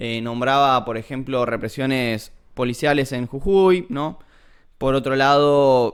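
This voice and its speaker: A man at a medium pitch with an Argentine accent, very slow pace and fairly even intonation. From Argentina. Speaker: philosophy streamer. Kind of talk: livestream lecture. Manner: hesitant, many fillers.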